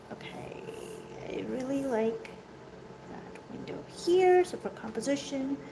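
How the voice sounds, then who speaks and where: A woman's pitch swings very widely, with audible room echo and noticeable background noise. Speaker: artist teaching sketching. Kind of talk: tutorial. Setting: art studio. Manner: loud and clear. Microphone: echoey room sound.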